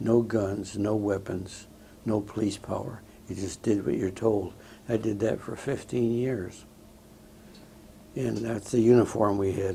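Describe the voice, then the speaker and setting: Leaving long, frequent pauses, a somewhat breathy man with a dark, mellow tone speaks at a fairly low pitch with fairly even intonation. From Southern California. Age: 80s+. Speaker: war veteran. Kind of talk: oral history interview. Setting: veterans home interview. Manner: halting, many fillers.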